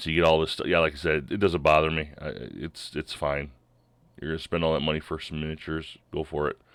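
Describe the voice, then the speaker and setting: On a very clean recording with a silent background, a man with a very deep, low pitch talks at a very fast pace with vocal fry and monotone, flat intonation. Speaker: board game content creator. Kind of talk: casual video commentary. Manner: halting with fillers and restarts.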